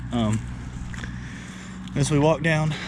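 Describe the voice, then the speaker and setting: The speaker has a Southern US accent. Background noise is noticeable. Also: man. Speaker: homesteader vlogger. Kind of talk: casual walking tour vlog. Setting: outdoors.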